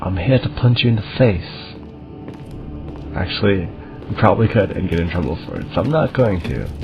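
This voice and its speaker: A soft-spoken man talks at a fairly quick pace in a very deep, low voice with lively intonation. Long, frequent pauses break up his speech, with music in the background. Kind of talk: casual gameplay commentary. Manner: soft-spoken, quiet.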